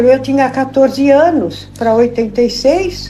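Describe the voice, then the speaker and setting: Over music in the background, a woman with a high-pitched voice speaks at a fairly slow pace. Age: 80s+. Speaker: elderly church member. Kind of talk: interview. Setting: home visit.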